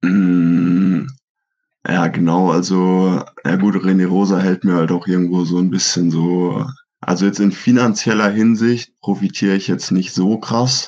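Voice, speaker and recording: A man speaks at a fairly slow pace in a very deep, low pitch. His intonation is fairly even and his loudness very even. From Germany, Franconia (Schweinfurt). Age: 20s. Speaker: professional triathlete. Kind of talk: casual interview.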